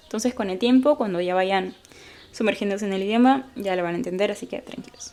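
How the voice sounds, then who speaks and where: Over noticeable background noise, a woman speaks very fast, with ordinary pitch variation. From Peru. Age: 20s. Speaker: English teacher and language learner. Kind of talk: casual talk to camera. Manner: upbeat, friendly.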